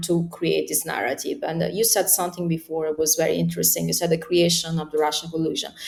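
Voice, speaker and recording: A woman speaks with an Italian accent. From Italy. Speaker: political commentator. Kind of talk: interview. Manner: halting, many fillers.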